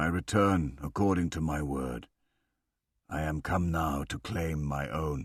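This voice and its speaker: A man puts on a character voice with a very deep, low pitch. He speaks fairly slowly with ordinary pitch variation. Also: very clean recording, silent background. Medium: read story.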